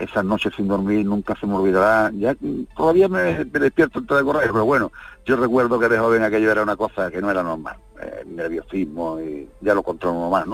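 With lively intonation and a fairly quick pace, a man speaks in a normal speaking voice at a fairly low pitch. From Andalusia. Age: 60s. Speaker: veteran rally driver. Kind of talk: radio interview.

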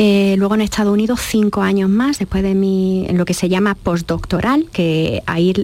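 This woman talks at a fairly quick pace in a medium pitch, keeping her intonation fairly even. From Andalusia, Jaén. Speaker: biochemist and consultant. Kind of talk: radio interview. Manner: halting, many fillers.

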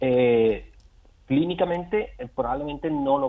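A man's ordinary speaking voice at a moderate pace, with ordinary pitch variation. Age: young. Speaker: gynecologist. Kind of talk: expert interview.

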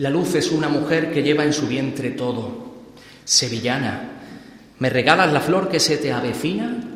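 There is noticeable background noise behind a man's fairly high-pitched voice. He speaks at a fairly slow pace with lively intonation. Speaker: pregonero giving a Holy Week address. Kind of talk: solemn pregón, declaimed poetic verse with rhythmic, rhymed cadence. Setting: stage with audience, church theatre. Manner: rhetorical, elevated, lyrical, measured and emphatic delivery.

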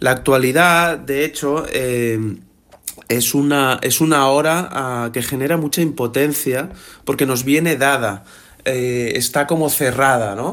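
Here a man talks at a fairly slow pace. He has a medium pitch and fairly even intonation. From Barcelona, Catalonia, Spain. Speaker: journalist and author. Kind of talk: radio interview. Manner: hesitant, many fillers.

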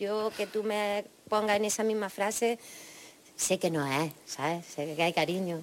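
At a fairly slow pace, a woman talks in a medium pitch with ordinary pitch variation. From Jaén, Andalusia, Spain. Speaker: rock singer-songwriter. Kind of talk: interview answers.

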